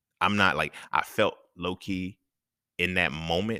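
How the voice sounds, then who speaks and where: Soft-spoken and very deep, a man's voice has a bright, sharp tone and ordinary pitch variation, captured dry and close with no echo on a very clean recording with a silent background. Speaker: podcaster. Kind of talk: casual monologue. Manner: laid back.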